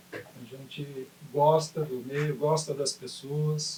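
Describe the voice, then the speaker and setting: A man talks in a fairly high pitch. His intonation stays monotone and flat. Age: 70s. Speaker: retired basketball coach and sports administrator. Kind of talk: interview.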